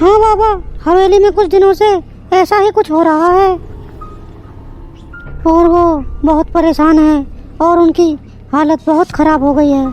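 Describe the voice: A woman uses a cartoonish character voice at an extremely high pitch, with very even loudness and a moderate pace. Long, frequent pauses break it up over clear background noise.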